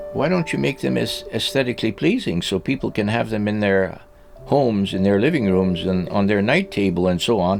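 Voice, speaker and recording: With music in the background, a man with a fairly low pitch talks at a fairly quick pace using lively intonation. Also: very even loudness. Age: 80s+. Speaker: orgonite maker. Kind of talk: casual chat. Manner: halting.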